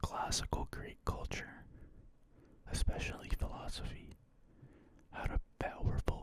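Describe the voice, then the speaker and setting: Someone whispers at a fairly slow pace. Noticeable background noise sits behind the voice. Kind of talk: ASMR reading of an encyclopedia article. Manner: whispered, soft-spoken.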